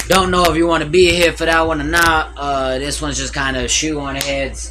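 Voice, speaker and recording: A man speaks at a moderate pace over music in the background, with audible room echo. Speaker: streamer reacting to videos. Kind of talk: casual livestream commentary. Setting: livestream at home with TV audio. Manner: loud.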